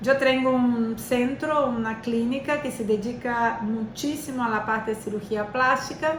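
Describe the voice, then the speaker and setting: With hardly any pauses, a high-pitched woman speaks at a fairly slow pace and fairly even intonation, amid audible room echo and noticeable background noise. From Brazil. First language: Portuguese (speaking Spanish). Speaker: physiotherapist and lecturer. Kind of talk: lecture. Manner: halting, many fillers.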